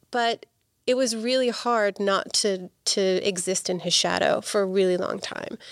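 Woman of medium pitch at a moderate pace, fairly even intonation, very clean recording and silent background. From England, Bristol. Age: 40s. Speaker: health insurance advisor. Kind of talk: podcast interview.

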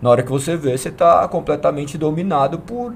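A man talks at a moderate pace. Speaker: church member. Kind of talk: testimony. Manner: talkative.

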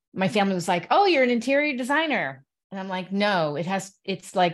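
With an American accent, a woman talks in an unremarkable speaking voice, medium in pitch, with lively intonation at a fairly quick pace against a quiet background. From Connecticut, US. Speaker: radio show host and author. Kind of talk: casual chat.

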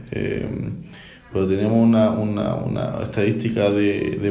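Monotone and flat, a man's fairly low voice comes through with audible room echo and noticeable background noise. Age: 30s. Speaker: explorer and sea kayaker. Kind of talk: research interview.

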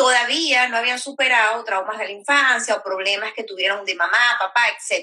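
The woman has a high-pitched voice with a bright, sharp tone. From Venezuela. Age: 30s. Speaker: sexologist and women's rights activist. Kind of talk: interview.

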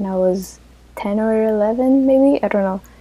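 A woman speaks at a medium pitch with a non-native accent. Her tone is dark and mellow, with ordinary pitch variation. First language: not English. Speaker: podcast co-host. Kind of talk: casual chat.

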